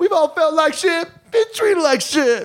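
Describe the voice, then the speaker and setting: In a whiny, put-on character voice, the speaker goes at a moderate pace. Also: man, extremely high pitch for a man. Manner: mocking.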